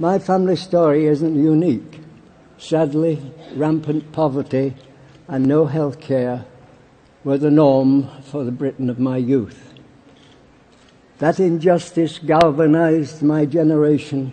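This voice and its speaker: A man with a Yorkshire accent and a fairly high pitch speaks at a fairly slow pace with fairly even intonation. Long, frequent pauses break up his speech, and noticeable background noise is present. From Barnsley, England. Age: 80s+. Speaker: war veteran. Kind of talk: political conference speech.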